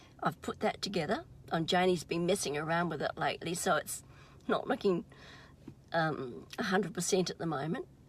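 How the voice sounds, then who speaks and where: Somewhat breathy, a woman with a fairly low pitch speaks at a fairly quick pace with ordinary pitch variation. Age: 70s. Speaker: vlogger and emotional wellbeing practitioner. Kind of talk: casual vlog monologue. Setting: in a car.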